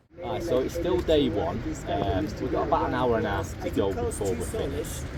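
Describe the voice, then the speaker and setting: At a fairly quick pace, a man with a Mancunian accent speaks through noticeable background noise and audible room echo. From northern England, Manchester. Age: 50s. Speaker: travel vlogger. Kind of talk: casual vlog commentary. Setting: outdoors on a hiking trail.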